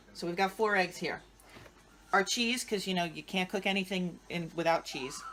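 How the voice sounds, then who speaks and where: Speaking at a moderate pace, a woman with an American accent uses lively intonation. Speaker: home cook showing a family recipe. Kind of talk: cooking tutorial. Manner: casual, chatty.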